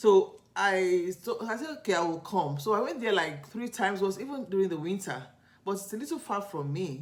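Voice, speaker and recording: The speaker has a Nigerian accent. The pace is fairly quick. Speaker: lifestyle vlogger. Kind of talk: casual vlog storytelling. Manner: conversational, halting with self-corrections.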